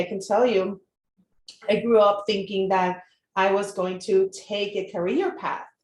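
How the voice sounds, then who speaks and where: In a Puerto Rican accent, a woman speaks at a fairly slow pace with fairly even intonation. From Puerto Rico. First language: Spanish. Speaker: marketing entrepreneur. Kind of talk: live interview. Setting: Facebook live stream.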